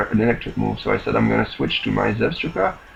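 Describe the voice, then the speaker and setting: A very fast-talking man over noticeable background noise. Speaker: gaming commentator. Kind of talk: game commentary voice-over. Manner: monotone.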